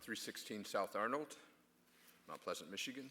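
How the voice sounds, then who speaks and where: A man speaks with a bright, sharp tone. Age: 70s. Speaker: public commenter at city meeting. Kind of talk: public comment speech. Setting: city commission meeting at podium. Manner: halting with fillers.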